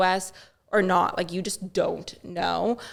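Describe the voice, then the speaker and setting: A woman speaks with a Boston accent. The recording is very clean, with a silent background. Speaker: social media influencer. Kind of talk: podcast interview answer. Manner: upbeat, positive.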